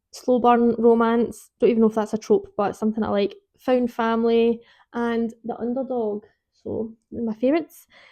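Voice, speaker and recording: A woman speaks in a Scottish accent, her pitch fairly high. Her pace is moderate and her intonation fairly even. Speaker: book vlogger. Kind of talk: casual chat. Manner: rambling, informal.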